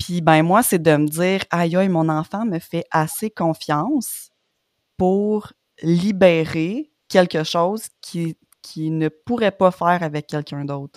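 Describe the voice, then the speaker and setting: A woman at a very slow pace with ordinary pitch variation, in a dry, close sound with no echo and a very clean recording with a silent background. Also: fairly low pitch for a woman. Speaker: podcast host. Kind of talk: interview.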